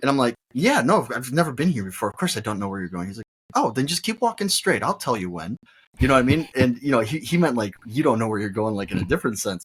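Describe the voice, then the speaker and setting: Very fast and somewhat breathy, a man speaks at a medium pitch. His pitch swings very widely. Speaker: golf podcast host, guest on show. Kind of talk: casual chat.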